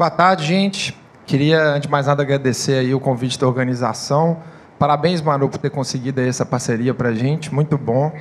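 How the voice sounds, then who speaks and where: A man with a Minas Gerais accent speaks at a fairly quick pace, with a medium pitch and fairly even intonation. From Minas Gerais, Brazil. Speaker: open innovation manager at startup hub. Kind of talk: conference panel talk.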